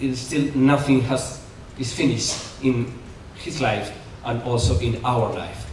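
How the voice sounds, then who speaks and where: A man talks at a fairly slow pace with fairly even intonation. Noticeable background noise and audible room echo fill the recording. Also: medium pitch for a man. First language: Spanish. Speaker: Jesuit priest, conference speaker. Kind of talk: conference lecture. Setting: conference hall with audience. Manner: halting, many fillers.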